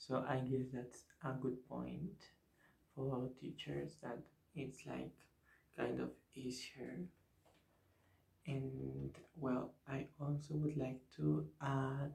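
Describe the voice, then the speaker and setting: A man with a Spanish accent speaks at a very slow pace, leaving long, frequent pauses. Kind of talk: ASMR talk about teaching English. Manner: whispered, soft-spoken.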